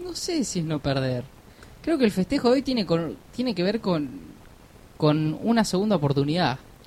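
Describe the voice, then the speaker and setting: The speech runs at a moderate pace with long, frequent pauses. Noticeable background noise sits behind it. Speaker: podcast co-host. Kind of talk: live radio chat. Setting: radio studio.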